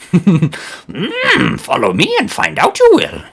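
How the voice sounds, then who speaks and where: A man uses a put-on character voice and speaks at a very slow pace. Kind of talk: inverted word order in speech.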